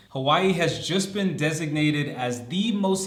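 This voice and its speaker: With an American accent, the speaker sounds animated, using lively intonation, while audible room echo and noticeable background noise fill the recording. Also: man. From United States. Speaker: vlogger. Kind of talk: casual vlog talk to camera.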